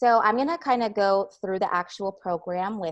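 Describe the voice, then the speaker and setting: Speaking in a plain, everyday voice, the woman holds a moderate pace and ordinary pitch variation. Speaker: curriculum specialist presenter. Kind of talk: tutorial.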